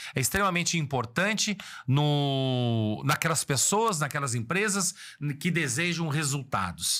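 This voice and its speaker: A bright, sharp, animated voice at a fairly slow pace with very wide pitch swings, in a very clean recording over a silent background. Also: man. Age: 60s. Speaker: business consultant. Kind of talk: motivational business talk.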